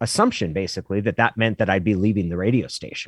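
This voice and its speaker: In an American accent, a man with a normal speaking voice and fairly low pitch shows ordinary pitch variation against a quiet background. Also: dry, close sound with no echo. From Oregon, Klamath Falls. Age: 40s. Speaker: former sports radio host and sportswriter. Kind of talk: casual podcast interview.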